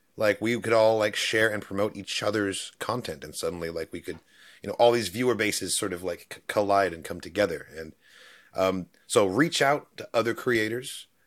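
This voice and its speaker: A man's normal speaking voice, fairly low in pitch, at a moderate pace with ordinary pitch variation and big swings in loudness, on a very clean recording with a silent background. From New Zealand, moved to US in 2001 as a child. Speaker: YouTube reaction creator. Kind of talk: casual interview.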